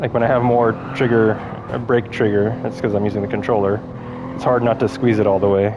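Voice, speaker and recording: A man at a very fast pace, in a monotone, flat intonation, with noticeable background noise. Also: medium pitch for a man. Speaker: sim racing gameplay commentator. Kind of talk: live gameplay commentary. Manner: casual, halting with fillers.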